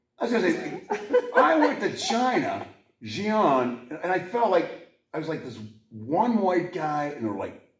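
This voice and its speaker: In an American accent, a man speaks fairly slowly amid audible room echo. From Pittsburgh area, US. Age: 60s. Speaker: podcast host. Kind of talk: casual chat.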